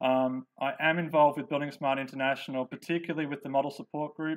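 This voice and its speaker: A man talks at a fairly quick pace in a fairly high pitch, with monotone, flat intonation. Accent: Australian. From Australia. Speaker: software developer and engineer presenter. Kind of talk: conference presentation. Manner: hesitant, many fillers.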